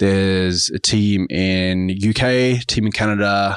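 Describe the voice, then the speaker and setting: A man speaks very slowly with an Australian accent. The background is quiet. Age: 30s. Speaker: business executive. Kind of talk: interview.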